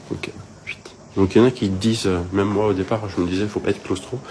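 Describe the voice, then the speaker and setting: A soft-spoken man with a fairly low pitch talks in a fairly even intonation over noticeable background noise. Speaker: travel vlogger. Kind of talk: casual vlog tour. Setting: hostel room. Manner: halting, many fillers.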